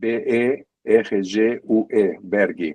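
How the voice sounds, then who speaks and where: A man is speaking here. He has a slight Argentine accent. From Argentina, San Isidro near Buenos Aires. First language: Spanish (speaking Portuguese). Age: 70s. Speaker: psychoanalyst. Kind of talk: interview conversation. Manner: halting, with hesitations.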